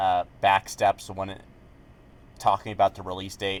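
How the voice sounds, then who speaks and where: A man mumbles at a moderate pace in a fairly low pitch. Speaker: gaming YouTuber. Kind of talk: casual commentary video. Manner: hesitant, many fillers; mumbling.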